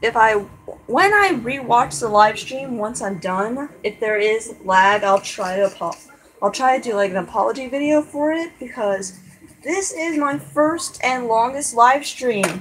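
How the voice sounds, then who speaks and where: A woman speaks with very wide swings in pitch. Noticeable background noise runs under her voice. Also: fairly slow pace. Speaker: drawing livestreamer. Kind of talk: casual live stream commentary while drawing. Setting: live stream. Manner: halting.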